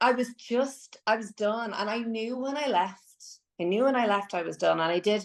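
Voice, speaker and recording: Here a woman speaks at medium pitch, her pitch varying in an ordinary way. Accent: Irish. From Ireland. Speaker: singer and voice teacher. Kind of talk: podcast interview.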